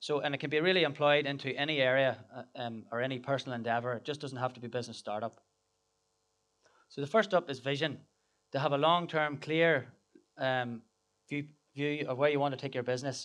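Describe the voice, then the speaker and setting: A man with an Irish accent talks at a fairly high pitch with fairly even intonation. His pace is fairly quick despite long, frequent pauses, and the background is quiet. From Ireland. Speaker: business founder and speaker. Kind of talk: conference talk. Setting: stage with audience. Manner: hesitant, many fillers and repeats.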